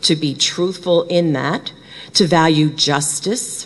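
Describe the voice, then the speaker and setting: A woman's fairly low voice with an American accent and fairly even intonation, very slow pace, noticeable background noise. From Brooklyn, New York. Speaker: conference speaker; bereavement trainer. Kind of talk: conference talk. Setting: stage with audience.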